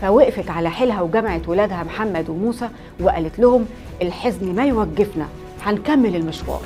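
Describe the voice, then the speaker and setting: A woman speaks at a medium pitch with music playing in the background. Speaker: history storyteller host. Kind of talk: history storytelling to camera. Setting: studio.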